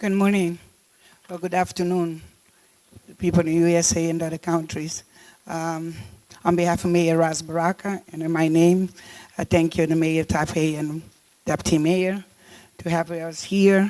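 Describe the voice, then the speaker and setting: The speaker has a Cape Verdean accent and a monotone, flat intonation. The pace is moderate, broken by long, frequent pauses. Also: woman, fairly low pitch for a woman. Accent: non-native, Cape Verdean. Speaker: deputy mayor. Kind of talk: conference speech. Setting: summit stage. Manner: halting, many fillers.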